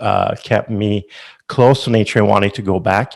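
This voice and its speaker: With a Quebec accent, a man talks at a moderate pace and a medium pitch. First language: French. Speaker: company founder. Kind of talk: interview. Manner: halting.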